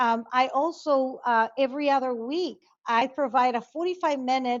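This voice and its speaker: A high-pitched woman with a Spanish accent at a moderate pace. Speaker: conflict resolution expert. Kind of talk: interview. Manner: halting.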